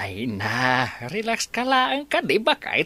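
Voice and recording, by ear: Putting on a character voice, a man speaks slowly in a fairly high, bright, sharp tone with very wide pitch swings.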